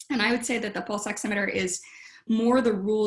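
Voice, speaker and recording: Audible room echo surrounds a woman speaking at a fairly quick pace, her fairly high pitch showing ordinary variation. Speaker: historian of medicine. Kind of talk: lecture. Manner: fast.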